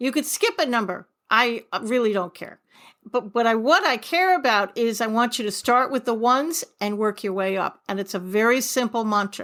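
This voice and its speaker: A woman with an American accent talks in an animated tone at a moderate pace, her pitch fairly high with ordinary variation. The recording is very clean, with a silent background. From New York. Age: 60s. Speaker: author and forgiveness coach. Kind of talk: podcast interview.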